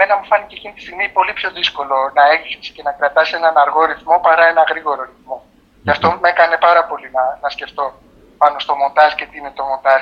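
With fairly even intonation and a fairly high pitch, the man's speech moves at a fairly quick pace. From Greece. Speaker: film editor. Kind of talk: interview. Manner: halting.

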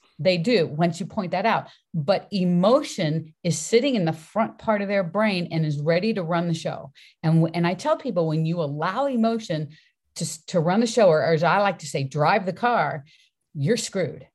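Somewhat breathy, a woman with an American accent speaks at a moderate pace with a fairly low pitch and lively intonation against a quiet background. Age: 60s. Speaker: fitness coach and author. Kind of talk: casual interview chat. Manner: animated.

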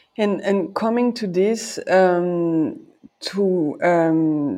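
Dark and mellow in tone, a woman's fairly low voice moves with ordinary pitch variation. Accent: French. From France. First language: French. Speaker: podcast host, party committee member. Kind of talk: interview. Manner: halting.

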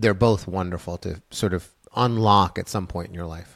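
On a very clean recording with a silent background and a dry, close sound with no echo, a man with an ordinary speaking voice talks at a moderate pace in a fairly low pitch with ordinary pitch variation. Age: 50s. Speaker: storyteller and author. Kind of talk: interview.

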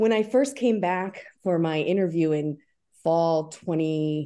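A voice with a dark, mellow tone, lively intonation and an American accent comes through over a quiet background. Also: woman. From US Northeast, Albany area, New York. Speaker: professor. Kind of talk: interview.

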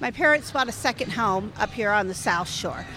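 A woman with an American accent makes very wide pitch swings. Noticeable background noise is present. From US West Coast, East Bay California. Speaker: banquet captain. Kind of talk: casual interview. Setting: hotel atrium.

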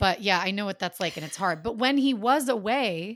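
On a very clean recording with a silent background, a woman speaks at a fairly quick pace. She has a plain, everyday voice with lively intonation. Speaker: podcast host and actor. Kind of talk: casual chat.

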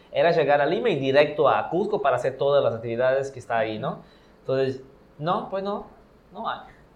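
A man talks with lively intonation and a fairly high pitch, and room echo is audible. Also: fairly quick pace. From Brazil. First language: Portuguese (speaking Spanish). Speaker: podcast guest, traveler. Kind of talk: casual chat.

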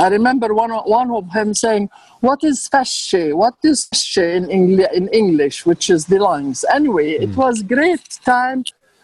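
A woman with an Arabic accent speaks at a fairly high pitch and a fairly slow pace, with very wide pitch swings and hardly any pauses. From Jordan (Amman), Palestinian family. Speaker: author and architect. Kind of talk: casual interview. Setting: video call.

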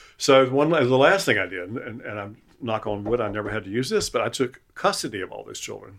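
This man talks at a fairly quick pace with a North Carolina accent, medium pitch and lively intonation. He leaves hardly any pauses, and his loudness swings widely. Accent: US Southern (North Carolina). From Eastern North Carolina coast. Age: 70s. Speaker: retired chef and cookbook author. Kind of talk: casual interview conversation. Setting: at home in his house. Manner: halting, many repetitions and fillers.

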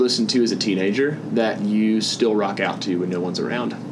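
A man with a Southern US accent talks at a moderate pace over noticeable background noise. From US South. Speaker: podcast host. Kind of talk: interview. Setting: at a conference.

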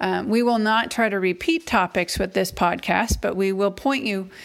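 In an American accent, a woman talks with an ordinary speaking voice, medium pitch and ordinary pitch variation. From Massachusetts, New England. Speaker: university admissions director. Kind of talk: podcast intro talk. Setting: at home.

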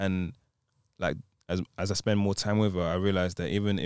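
A man with a London accent and a very deep, low voice, fairly quick and flatly monotone, in a very clean recording with a silent background and a dry, close sound with no echo. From London, England. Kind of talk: casual chat.

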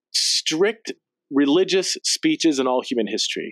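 In an American accent, a man's voice makes very wide pitch swings, recorded dry and close with no echo. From Central California. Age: 40s. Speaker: theologian and author. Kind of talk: casual interview conversation.

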